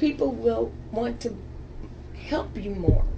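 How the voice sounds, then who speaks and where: A woman talks at a very slow pace, with audible room echo and noticeable background noise. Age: 60s. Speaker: sickle cell patient. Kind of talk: radio talk show interview.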